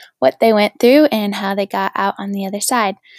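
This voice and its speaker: A woman speaks in a normal speaking voice at a fairly high pitch. The sound is dry and close, with no echo. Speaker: podcast host. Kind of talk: casual interview chat. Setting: video call.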